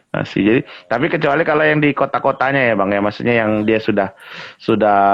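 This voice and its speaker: This man speaks at a very fast pace and a medium pitch, with ordinary pitch variation. His loudness stays very even. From Indonesia, Lampung. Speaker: guest, Lampung community figure with customary title. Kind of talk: casual interview chat.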